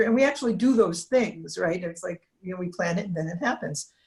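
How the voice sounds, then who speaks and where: Somewhat breathy, a woman speaks at a medium pitch and a moderate pace. Her pitch varies in an ordinary way. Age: 50s. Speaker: cancer survivor, retired engineer. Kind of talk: interview. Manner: halting.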